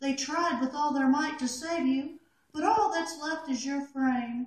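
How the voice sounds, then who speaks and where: A high, female-sounding, cartoonish character voice. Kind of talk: poetry reading. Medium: puppet.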